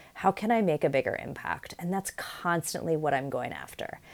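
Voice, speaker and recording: A woman's fairly low voice with an American accent, fairly quick, with ordinary pitch variation, an unremarkable speaking voice. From New York City. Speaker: leadership coach and professor. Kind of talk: personal storytelling monologue.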